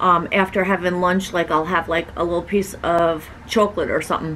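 Light background noise sits behind a woman whose intonation stays fairly even. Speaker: vlogger. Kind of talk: casual vlog chat, Q&A answer. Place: home room. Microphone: camera far.

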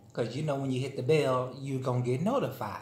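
The intonation is monotone and flat. Audible room echo and light background noise are present. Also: man. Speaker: vlogger. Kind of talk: casual vlog chat while eating. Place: home room. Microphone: phone near.

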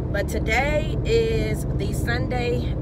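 A woman's voice, dry with no echo, with music in the background. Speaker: vlogger. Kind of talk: casual vlog chat. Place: car. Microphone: phone near.

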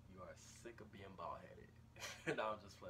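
Noticeable background noise beneath a man at a moderate speed. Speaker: hair care vlogger. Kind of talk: casual vlog tutorial. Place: home room. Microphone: phone near.

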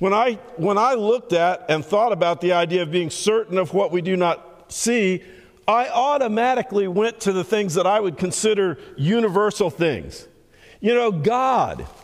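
A man speaks at a moderate pace with a high voice, ordinary pitch variation and very even loudness against a quiet background. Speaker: preacher. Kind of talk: sermon. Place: church.

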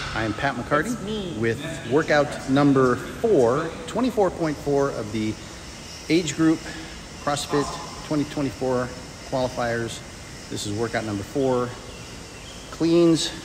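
Lively in intonation, a man speaks at a very slow pace with long, frequent pauses while music plays in the background. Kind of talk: explanatory video for competition submission. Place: gym. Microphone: phone near.

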